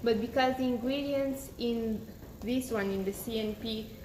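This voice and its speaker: A woman with a non-native accent speaks at a fairly slow pace and a high pitch, with audible room echo. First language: not English. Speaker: beauty influencer. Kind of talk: live-stream product demo and sales pitch. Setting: Instagram live broadcast. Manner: casual, slightly halting.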